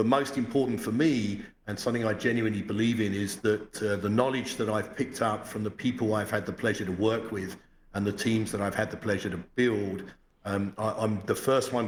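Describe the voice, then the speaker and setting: A man talks fairly quickly with an English accent. His pitch is fairly low. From England, London. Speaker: financial sector executive. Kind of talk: podcast interview.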